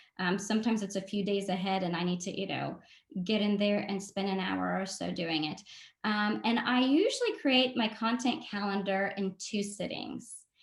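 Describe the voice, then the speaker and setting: Somewhat breathy, a woman with a medium pitch speaks at a moderate pace with ordinary pitch variation. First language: not English (English is her third language). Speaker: marketing consultant and workshop presenter. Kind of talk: webinar presentation. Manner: frequent filler 'um'.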